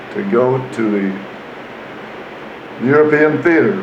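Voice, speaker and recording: A man speaks with an American accent and ordinary pitch variation. Noticeable background noise and audible room echo fill the recording. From US Midwest, Iowa. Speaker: war veteran. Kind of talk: interview.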